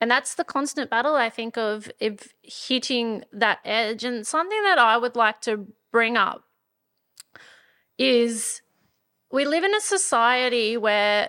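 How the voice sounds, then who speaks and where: In an Australian country accent, a woman with a fairly high voice speaks at a fairly slow pace, with ordinary pitch variation and long, frequent pauses. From rural Australia. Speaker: podcast co-host, entrepreneur. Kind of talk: casual chat. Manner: animated.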